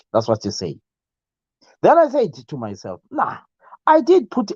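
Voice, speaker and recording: This man has a Zimbabwean accent. The sound is dry and close with no echo. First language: Ndebele. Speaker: YouTube live show host. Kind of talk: casual live stream chat. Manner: halting, many fillers.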